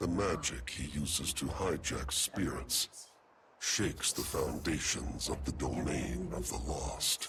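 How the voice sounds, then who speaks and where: A man puts on a character voice with a very deep, low pitch, speaking at a fairly slow pace. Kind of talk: epic fantasy game voice acting. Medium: video game. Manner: solemn, measured, formal.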